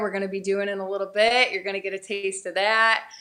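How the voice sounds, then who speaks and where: In a New England accent, a woman speaks at medium pitch with a bright, sharp tone. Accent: Yankee twang. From upstate New York. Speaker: country singer. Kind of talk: casual chat. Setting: studio.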